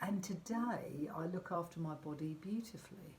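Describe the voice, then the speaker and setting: A woman's fairly low voice in a southern English accent, with lively intonation at a moderate pace. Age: 60s. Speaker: life coach. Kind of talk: motivational vlog talk. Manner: conversational, with fillers.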